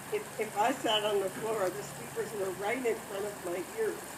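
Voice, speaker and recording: A woman with an American accent speaks at a fairly slow pace with fairly even intonation. The recording has audible room echo and noticeable background noise. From US Midwest, Grand Rapids, Michigan. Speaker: storyteller. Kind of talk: reading aloud. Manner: soft-spoken.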